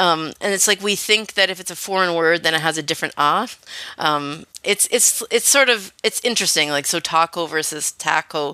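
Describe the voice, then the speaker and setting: Heard in a dry, close sound with no echo, a woman with a Canadian accent and a fairly low, bright, sharp tone speaks at a moderate pace with ordinary pitch variation. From Canada. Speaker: linguistics professor. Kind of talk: radio interview. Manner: hesitant, many fillers.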